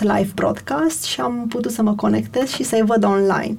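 At a moderate pace, a woman speaks in a somewhat breathy voice with a fairly high pitch. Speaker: company executive. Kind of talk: interview. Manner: hesitant.

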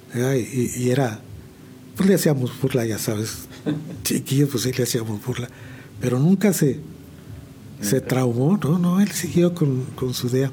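Speaking at a fairly slow pace with lively intonation, a man with a medium-pitched voice leaves long, frequent pauses. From central Mexico, San Juan del Río (Querétaro); born in Chihuahua. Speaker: veteran musician. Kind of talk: interview. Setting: studio. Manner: halting.

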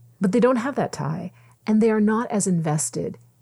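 Lively intonation marks this woman's somewhat breathy voice, spoken in a Canadian accent. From Ontario, Canada (Mississauga). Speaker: entrepreneur and former journalist. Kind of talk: casual interview. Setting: podcast studio.

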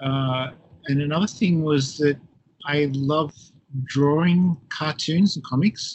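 Very slow and broken by long, frequent pauses, a man's fairly high voice keeps a fairly even intonation. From Australia. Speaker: professor. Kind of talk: interview. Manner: halting.

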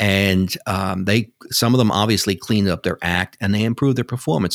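Recorded dry and close with no echo, a man with a New York accent talks at a fairly low pitch with ordinary variation. The recording is very clean, with a silent background. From New York City. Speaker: broadband policy expert. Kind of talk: interview. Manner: halting, hesitant.

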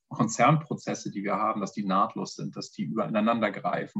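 A man at a medium pitch and a fairly quick pace. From northern Germany. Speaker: pharma innovation manager. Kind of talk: interview.

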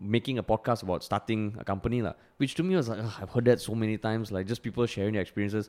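A man's voice at medium pitch. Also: very clean recording, silent background. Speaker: comedian and podcast host. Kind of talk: casual chat. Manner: animated.

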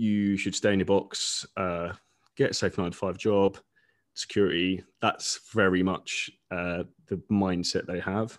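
With an English accent, a man speaks fairly slowly at a fairly low pitch in a flat monotone against a quiet background. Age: 30s. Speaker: online fitness coach. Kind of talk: casual interview.

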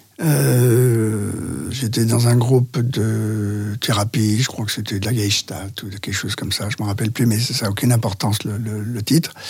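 Noticeable background noise sits behind a man with a fairly low voice. He speaks at a moderate pace with ordinary pitch variation. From France, Lyon area. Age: 70s. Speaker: interview guest recounting his life. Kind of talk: personal testimony interview. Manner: halting.

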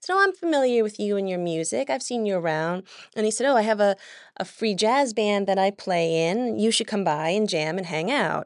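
A woman with an American accent uses an ordinary speaking voice at medium pitch, fairly quick pace and lively intonation. The background is quiet. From upstate New York. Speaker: cellist and music educator. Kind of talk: casual interview.

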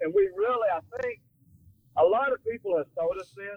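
The speaking pace here is fairly quick. A man's pitch moves up and down by an ordinary amount. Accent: Texan. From North Texas, Fort Worth. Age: 60s. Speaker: wrestler. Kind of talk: casual chat. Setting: phone call from a car.

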